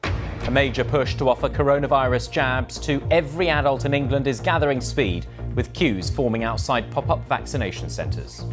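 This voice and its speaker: With music in the background, a man talks at a moderate pace with hardly any pauses. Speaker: news presenter and reporter. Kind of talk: studio news headlines read.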